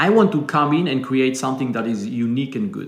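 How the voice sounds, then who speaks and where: A man talks very fast with lively intonation. Noticeable background noise and audible room echo fill the recording. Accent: Israeli. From Israel. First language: Hebrew. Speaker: business founder. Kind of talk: interview conversation.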